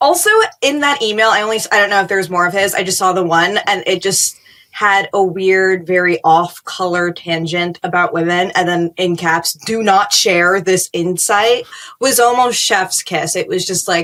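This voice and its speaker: A woman's medium-pitched, normal speaking voice with ordinary pitch variation. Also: moderate pace. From New York City, Queens. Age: 20s. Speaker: political commentator. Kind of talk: casual chat.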